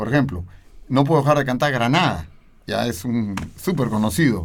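A man with a Peruvian accent at a moderate pace, medium in pitch with lively intonation, amid audible room echo. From Peru, Lima (Miraflores). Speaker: opera tenor. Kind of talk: interview.

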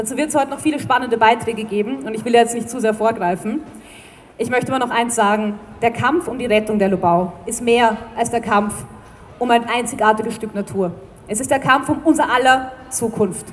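A woman's fairly high, fairly quick voice with ordinary pitch variation and noticeable background noise. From Vienna. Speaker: environmental group spokesperson. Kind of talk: rally speech.

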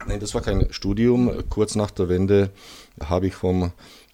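A dark, mellow tone carries fairly even intonation as the speech proceeds at a fairly slow pace. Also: man. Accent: Czech. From Czech Silesia. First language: Czech (speaking German). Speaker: historian, museum deputy director. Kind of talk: interview, partly prepared historical talk. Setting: recorded at his museum. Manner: halting with frequent fillers.

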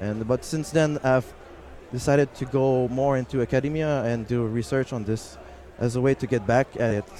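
A man speaks with a normal speaking voice at medium pitch. His pace is moderate and his intonation fairly even. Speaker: activist and graduate student. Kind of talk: interview. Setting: live at a conference, noisy hall.

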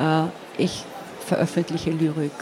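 The speaker has a Slovenian accent. Noticeable background noise runs through the clip. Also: woman. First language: Slovene (speaking German). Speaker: poet. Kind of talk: interview. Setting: stage at a book fair. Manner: hesitant, many filler sounds.

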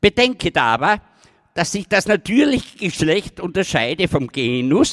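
The sound is dry and close, without any echo. A man is the one talking. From Styria, Austria. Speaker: slam poet, dialect author. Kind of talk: poetry performance. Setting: outdoor stage with audience. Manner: rising to shouting rage.

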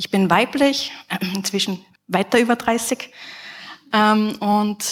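Here a woman speaks in an unremarkable speaking voice, fairly high in pitch, with fairly even intonation. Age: 30s. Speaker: game development professor. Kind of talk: conference talk.

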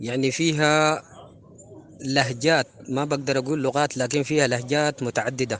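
A man with a Sudanese accent, fairly high pitched for a man, in a monotone, flat delivery at a very even loudness. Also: moderate pace. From Sudan, West Darfur (El Geneina). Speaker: folk singer. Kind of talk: interview.

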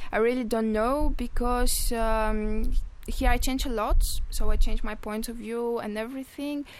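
In a Bulgarian accent, a woman speaks at a fairly slow pace with high pitch, monotone, flat intonation and big swings in loudness, amid audible room echo. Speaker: EU volunteer at community radio. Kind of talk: radio interview. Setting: radio studio.

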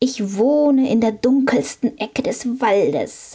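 A woman uses a put-on character voice, high and menacing in tone. She speaks at a fairly slow pace with hissing. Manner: hissing, menacing.

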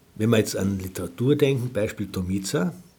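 A man speaks with a dark, mellow tone that is somewhat breathy. His intonation is lively. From Austria, Carinthia. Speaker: cultural scientist and philosopher. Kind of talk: interview.

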